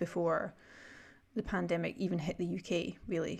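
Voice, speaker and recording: Words come at a very fast pace on a very clean recording with a silent background. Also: woman. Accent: Scottish. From Scotland. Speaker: podcast host. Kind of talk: casual interview conversation.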